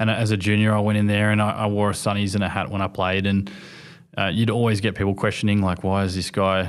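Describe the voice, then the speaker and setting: A man speaks with an Australian accent. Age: 20s. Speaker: Paralympic sprinter. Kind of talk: interview.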